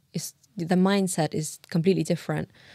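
Recorded very cleanly against a silent background, a woman with a London accent talks at a moderate pace and a fairly low pitch. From Uzbekistan (Tashkent), moved to London at 11. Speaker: illustrator and cultural leader. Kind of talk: casual interview.

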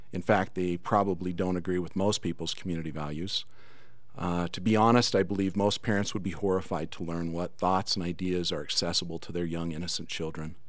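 Fairly quick speech from a man with a very deep, low pitch and fairly even intonation, with audible room echo. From Cedar City, Utah. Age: 50s. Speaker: school board candidate. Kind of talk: political debate. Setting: studio.

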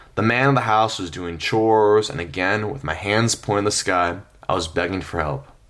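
A man with an unremarkable speaking voice and a fairly low pitch talks at a moderate pace. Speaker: travel storytelling podcaster. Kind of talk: scripted narration.

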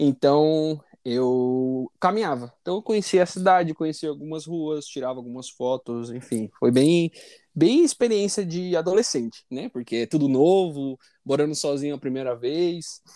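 Recorded very cleanly with a silent background and a dry, close sound without echo, a man speaks at a moderate pace in a fairly high voice with a dark, mellow tone and ordinary pitch variation. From Brazil, São Paulo. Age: 20s. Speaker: podcast co-host. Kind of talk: casual chat.

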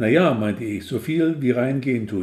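A man speaks with a plain, everyday voice at a medium pitch. His pace is moderate, and his pitch varies in an ordinary way. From northern Germany. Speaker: author. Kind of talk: reading aloud.

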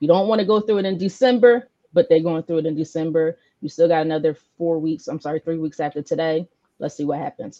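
Very fast and fairly low in pitch, a woman talks in a dark, mellow tone with ordinary pitch variation, the sound dry and close with no echo. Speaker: sports show host. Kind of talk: casual sports talk show banter.

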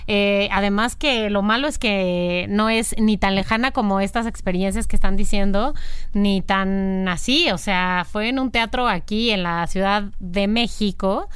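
In a Mexican accent, a woman talks at a fairly slow pace and medium pitch. Her intonation is fairly even, and the room echo is audible. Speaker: podcast host. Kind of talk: casual chat.

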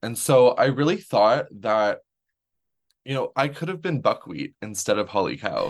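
A man speaks with a Canadian accent. He keeps a moderate pace. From Canada. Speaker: drag performer and farmer. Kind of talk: casual interview chat.

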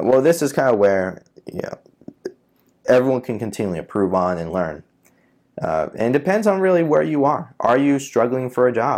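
Speaking at a moderate pace in a New York accent, a man uses a medium pitch with very wide pitch swings. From New York City (Queens). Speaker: podcast host, data scientist. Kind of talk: solo educational talk. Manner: hesitant, many filler uhs.

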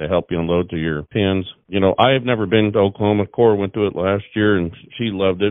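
A man's voice with ordinary pitch variation. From Washington State, US Pacific Northwest. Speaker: cattle breeder. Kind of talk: casual chat.

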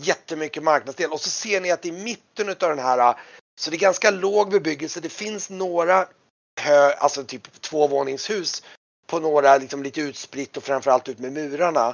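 The speaker is a man with a fairly high pitch. His pitch variation is ordinary.

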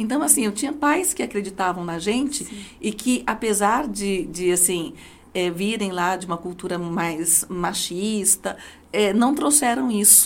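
A woman with a plain, everyday voice talks at a medium pitch and fairly slow pace, using lively intonation. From Brazil, Diadema (São Paulo). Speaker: judge and law professor. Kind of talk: interview.

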